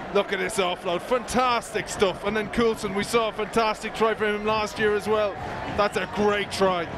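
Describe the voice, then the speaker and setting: A man speaks at a high pitch and moderate pace in a monotone, flat intonation, with noticeable background noise around him. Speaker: co-commentator and analyst. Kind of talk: live rugby commentary, analysis.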